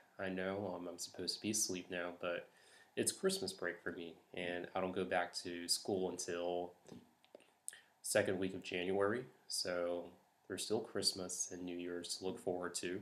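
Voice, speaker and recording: Soft-spoken and very deep, a man's low voice stays monotone and flat at a moderate pace. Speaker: vlogger. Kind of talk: casual monologue. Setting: at home late at night. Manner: hesitant, many fillers.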